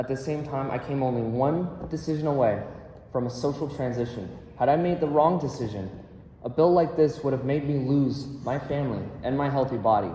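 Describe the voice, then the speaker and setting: A man with an American accent, fairly high in pitch, at a fairly quick pace with ordinary pitch variation, amid audible room echo and noticeable background noise. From Colorado, Douglas County. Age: 20s. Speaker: public testifier at legislative hearing. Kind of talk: legislative testimony. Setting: legislative committee hearing. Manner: formal.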